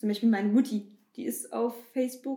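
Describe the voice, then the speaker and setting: A somewhat breathy woman speaks at a moderate pace. Her intonation stays fairly even. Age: 20s. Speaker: bank marketing employee. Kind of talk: casual interview.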